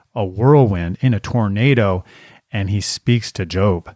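Captured in a very clean recording with a silent background, a man with a normal speaking voice talks with ordinary pitch variation, the sound dry and close with no echo. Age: 50s. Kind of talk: casual religious chat.

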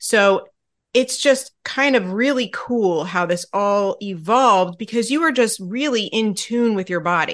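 Against a quiet background, a woman with an ordinary speaking voice talks at a fairly slow pace, her medium pitch carrying lively intonation. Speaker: podcast host and fasting coach. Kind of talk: casual interview chat.

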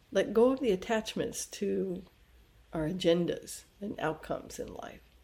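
A woman of medium pitch talks fairly slowly in a dark, mellow, somewhat breathy tone. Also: long, frequent pauses. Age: 60s. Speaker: yoga and Ayurveda teacher. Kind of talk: podcast monologue.

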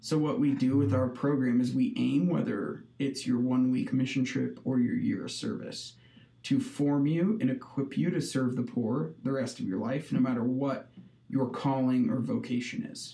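A man with a Midwestern US accent speaks at a moderate pace. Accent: US Midwest. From Nebraska (Hastings). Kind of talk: casual interview.

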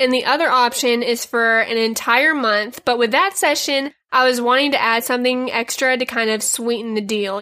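The recording is very clean, with a silent background, as a woman speaks at a moderate pace in a high pitch. Her tone is bright, sharp and animated, with ordinary pitch variation. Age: 20s. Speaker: podcast host and small business owner. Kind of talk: casual solo podcast monologue.

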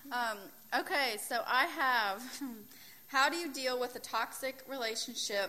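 A woman speaks in a high, bright and sharp voice, raised and projected. She goes at a fairly slow pace with ordinary pitch variation. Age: 20s. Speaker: youth group speaker. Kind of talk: youth group talk.

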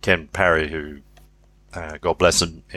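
A man's voice, bright and sharp in tone, with a dry, close sound and no echo. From England, Leicestershire family. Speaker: leadership professor. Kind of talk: interview. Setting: remote call.

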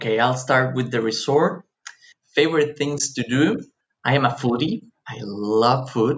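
A man of medium pitch speaks in a somewhat breathy voice at a fairly slow pace, with ordinary pitch variation and long, frequent pauses. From Mexico (Cancun). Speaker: tourism company representative. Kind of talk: interview.

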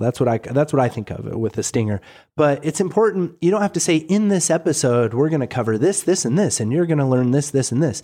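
On a very clean recording with a silent background, a man talks at a very fast pace with hardly any pauses. His voice is fairly high, dark and mellow, with lively intonation. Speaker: podcast host. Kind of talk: casual chat.

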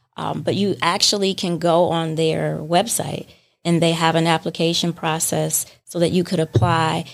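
This woman's voice is fairly low in pitch, with vocal fry. She talks at a moderate pace with fairly even intonation. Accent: American. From Detroit. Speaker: coffee shop owner. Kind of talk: interview.

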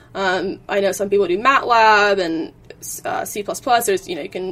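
The speaker has an American accent. The pitch varies in an ordinary way. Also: woman. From Virginia, US. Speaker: engineering student. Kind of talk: interview.

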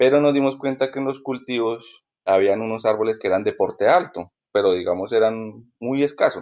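Against a quiet background, a man with medium pitch speaks in an ordinary speaking voice. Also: ordinary pitch variation, moderate pace. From Colombia, Ibagué (Tolima). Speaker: coffee grower. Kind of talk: interview.

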